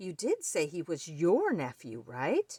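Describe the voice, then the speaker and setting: Using a put-on character voice, a woman talks at a fairly slow pace in a fairly low pitch. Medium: read story.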